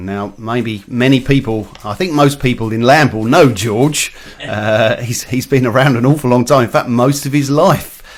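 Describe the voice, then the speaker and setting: Noticeable background noise sits under a man talking at a moderate pace. He uses ordinary pitch variation and hardly any pauses. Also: medium pitch for a man. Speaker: community radio presenter. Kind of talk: radio interview host. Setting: studio.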